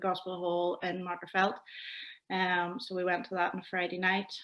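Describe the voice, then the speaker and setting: On a very clean recording with a silent background, a woman speaks at a medium pitch in a Northern Irish accent. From Northern Ireland, County Londonderry near Lough Neagh. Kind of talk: interview testimony.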